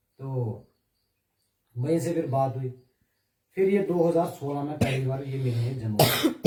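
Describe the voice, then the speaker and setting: A man's fairly high voice with ordinary pitch variation and long, frequent pauses. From Jammu region, India. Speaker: wrestler and police sportsman. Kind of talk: interview. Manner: halting.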